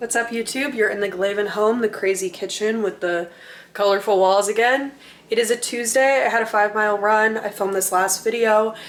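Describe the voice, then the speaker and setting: In a plain, everyday voice, a woman talks at a fairly quick pace, fairly high in pitch, with fairly even intonation. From Minnesota. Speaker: vlogger. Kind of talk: casual vlog. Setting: at home in the kitchen. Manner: casual, filler-heavy.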